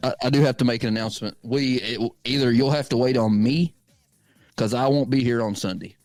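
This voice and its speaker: Music plays in the background. A man at a medium pitch talks at a fairly quick pace. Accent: East Tennessee. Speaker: sports podcast co-host. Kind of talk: casual chat. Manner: animated.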